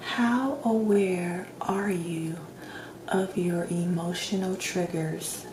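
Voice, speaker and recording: A soft-spoken woman talks at a very slow pace. Noticeable background noise runs underneath. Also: medium pitch for a woman, ordinary pitch variation. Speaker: ASMR doctor roleplay performer. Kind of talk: ASMR roleplay, personality assessment questions.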